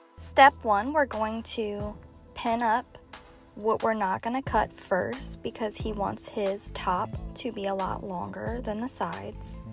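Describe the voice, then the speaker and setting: Over clear background music, a woman speaks at a very slow pace with a dry sound and no echo. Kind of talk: tutorial. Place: shop. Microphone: phone near.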